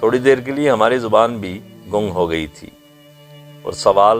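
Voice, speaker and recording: Music plays in the background as a man talks in a fairly low pitch with ordinary pitch variation. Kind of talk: documentary narration.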